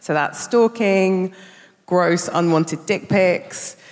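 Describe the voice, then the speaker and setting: A woman speaks at a medium pitch with a London accent. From South London. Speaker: campaign organiser. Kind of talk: live panel talk. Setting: stage with audience.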